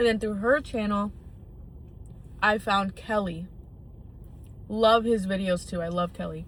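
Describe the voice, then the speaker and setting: A somewhat breathy woman with an American accent, at a fairly slow pace. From US Midwest, northern suburbs of Illinois. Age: 20s. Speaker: college student vlogger. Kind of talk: casual vlog monologue. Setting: in a car in an empty parking lot. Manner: casual, filler-heavy with frequent 'like'.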